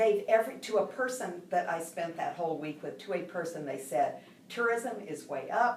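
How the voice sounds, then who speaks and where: The speaker has an American accent and lively intonation, with noticeable background noise and audible room echo. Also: woman, fairly low pitch for a woman, moderate pace. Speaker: university president. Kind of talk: interview. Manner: animated.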